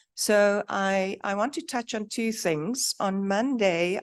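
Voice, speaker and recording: A woman's words arrive very slowly, with only quiet behind them. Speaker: academic society president and professor. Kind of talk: conference talk.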